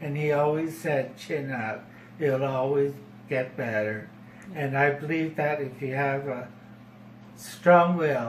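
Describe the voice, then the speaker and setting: A man's fairly high voice at a fairly slow pace, fairly even in intonation, broken by long, frequent pauses, with audible room echo. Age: 60s. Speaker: formerly homeless man. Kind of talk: personal testimony. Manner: halting.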